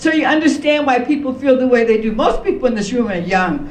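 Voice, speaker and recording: Amid audible room echo and noticeable background noise, a woman speaks at a high pitch with lively intonation. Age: 70s. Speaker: reparations panelist. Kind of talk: panel discussion.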